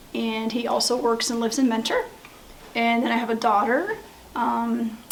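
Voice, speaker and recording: Over noticeable background noise and audible room echo, a speaker with an American accent talks at a moderate pace with fairly even intonation. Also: woman. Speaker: middle school teacher. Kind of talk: school interview.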